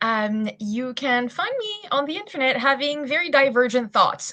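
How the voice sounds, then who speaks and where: A high-pitched woman in a French accent, with very wide pitch swings. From France. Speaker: SEO specialist. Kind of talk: webinar panel introduction.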